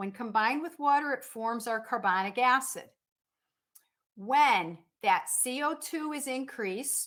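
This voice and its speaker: Loud and animated, a woman talks at a fairly slow pace in a high pitch, her intonation lively and her pauses long and frequent. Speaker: nursing instructor. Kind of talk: lecture. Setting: online class from home dining room.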